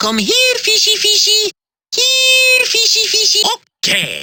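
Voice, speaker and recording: In a squeaky, put-on character voice at an extremely high pitch, the speaker goes at a fairly slow pace. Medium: video game. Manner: cheerful, playful.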